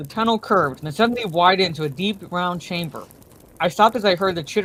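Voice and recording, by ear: Someone is reading aloud in a natural voice. The delivery is plain reading aloud in a natural voice.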